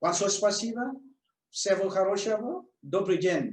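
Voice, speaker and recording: A man speaks in a Vietnamese accent. His pace is moderate. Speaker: medical doctor and telehealth clinic owner. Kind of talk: webinar presentation. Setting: online webinar.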